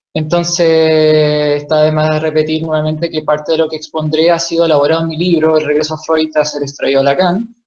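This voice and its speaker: Barely pausing, a man talks at a fairly quick pace, his fairly high pitch delivered in a monotone, flat intonation. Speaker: author and psychoanalysis lecturer. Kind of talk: lecture.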